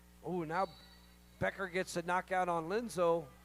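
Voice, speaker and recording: A man speaks with an American accent in a high pitch. Music plays in the background. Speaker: roller derby announcer. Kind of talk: live commentary.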